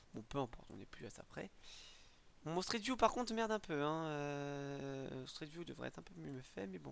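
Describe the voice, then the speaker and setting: At a moderate pace, a man with a fairly high voice talks with very wide swings in pitch. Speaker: gaming youtuber and map modder. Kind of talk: casual tutorial commentary. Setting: screen recording, home mic. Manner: rambling, self-correcting, joking.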